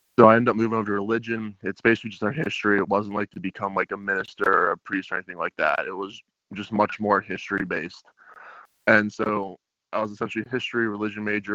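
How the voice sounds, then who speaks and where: Speaking very fast with an American accent, a man keeps a fairly low pitch and fairly even intonation. The sound is dry and close with no echo. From Pittsburgh, US. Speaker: college football player. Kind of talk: interview.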